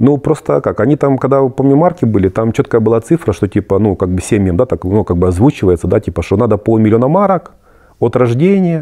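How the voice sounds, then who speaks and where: A man speaks at a medium pitch in a dark, mellow tone, with very wide pitch swings and very even loudness. His fairly quick delivery sounds dry and close, with no echo. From Germany (moved there at 14 from post-Soviet country). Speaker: emigrant interviewee. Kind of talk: interview. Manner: hesitant, many fillers.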